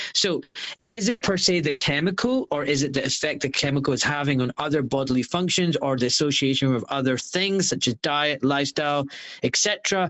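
A fairly high-pitched man at a fairly quick pace, with ordinary pitch variation and very even loudness. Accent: Glaswegian. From Scotland, Glasgow. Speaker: surgeon. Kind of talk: interview.

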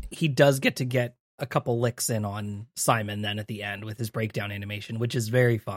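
Recorded very cleanly with a silent background and a dry, close sound with no echo, a man with a plain, everyday voice talks at a fairly low pitch and fairly quick pace, with fairly even intonation and hardly any pauses. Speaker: podcast host. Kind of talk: casual chat.

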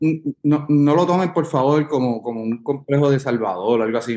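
In a plain, everyday voice, a man speaks at a moderate pace with lively intonation. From Puerto Rico. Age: 30s. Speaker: musician. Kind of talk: casual interview.

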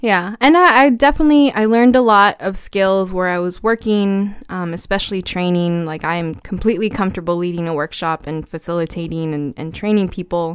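In an unremarkable speaking voice, a woman talks at a fairly quick pace with hardly any pauses, her medium pitch carrying lively intonation. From US South, Brownsville, Texas. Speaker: former teacher and coach. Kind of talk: casual interview. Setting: podcast studio.

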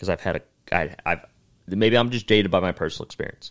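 Fairly low in pitch, a man with a plain, everyday voice talks at a fairly quick pace in a very clean recording with a silent background. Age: 20s. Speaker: comedian. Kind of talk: casual chat.

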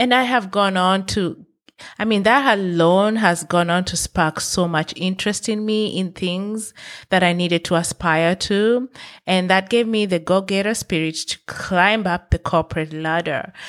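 The voice is an unremarkable speaking voice with ordinary pitch variation. It moves at a fairly slow pace. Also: woman, medium pitch for a woman, very clean recording, silent background. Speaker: motivational podcast host. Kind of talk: motivational monologue. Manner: earnest, encouraging.

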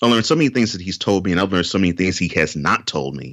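Bright and sharp in tone, a man with an American accent uses a very deep, low pitch with vocal fry and lively intonation. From Houston, Texas. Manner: talkative, repeats words for emphasis.

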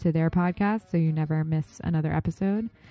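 Here a woman talks in an unremarkable speaking voice. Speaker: podcast host. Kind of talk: casual interview.

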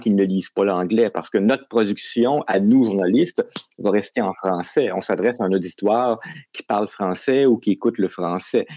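Dark and mellow, a man's voice moves at a moderate pace with ordinary pitch variation, heard dry and close with no echo on a very clean recording against a silent background. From Quebec. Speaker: science journalist. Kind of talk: interview.

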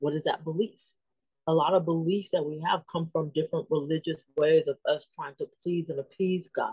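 In a dry, close sound with no echo, a woman with a fairly low pitch and a dark, mellow, somewhat breathy tone speaks at a moderate pace with monotone, flat intonation. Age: 50s. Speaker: ministry leader, former crisis counselor. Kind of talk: faith-based mental health talk.

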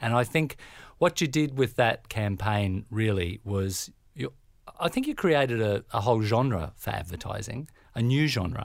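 Against a silent background on a very clean recording, a man speaks at a fairly slow pace with lively intonation. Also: medium pitch for a man. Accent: Australian. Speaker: creative agency founder, co-interviewer. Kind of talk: podcast interview.

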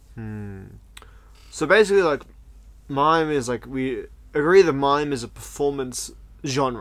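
This man's voice sits fairly high and moves with lively intonation. He talks at a fairly slow pace, with long, frequent pauses. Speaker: podcast host, clown. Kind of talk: casual chat.

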